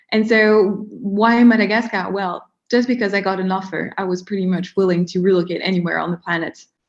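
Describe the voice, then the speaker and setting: A woman with a French accent and medium pitch speaks at a fairly quick pace with fairly even intonation and hardly any pauses. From France. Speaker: marketing strategist. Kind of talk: interview. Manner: hesitant, many fillers.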